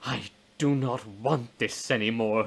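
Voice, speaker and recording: A resonant, put-on character voice from a man at medium pitch, at a fairly slow pace. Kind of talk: gothic horror reading. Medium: read story. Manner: grandiose, declamatory.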